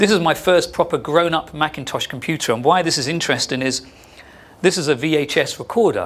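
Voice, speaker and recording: This man has an English accent and speaks at a fairly quick pace. His pitch variation is ordinary. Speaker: sound artist. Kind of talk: artist talk to an audience. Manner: fast; animated.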